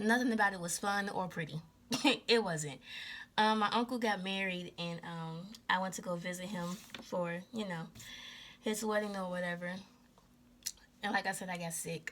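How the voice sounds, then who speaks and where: Soft-spoken and at a moderate pace, the speaker keeps a fairly even intonation and leaves long, frequent pauses. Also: woman, medium pitch for a woman. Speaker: spiritual tarot reader. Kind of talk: casual chat.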